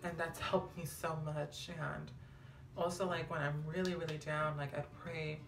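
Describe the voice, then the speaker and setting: Over music in the background and with audible room echo, a woman talks at a moderate pace in a flat, monotone way. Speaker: vlogger. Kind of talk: casual vlog talk.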